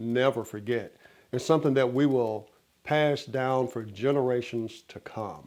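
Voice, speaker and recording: A man with an American accent, medium pitch and moderate pace, in a plain, everyday voice. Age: 60s. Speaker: motivational speaker. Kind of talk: motivational talk.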